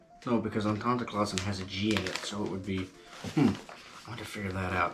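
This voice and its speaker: Through noticeable background noise, a man with a Southern US accent talks at a very fast pace with fairly even intonation. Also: fairly low pitch for a man. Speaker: gardening YouTuber. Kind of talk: tutorial. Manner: casual, hesitant with fillers.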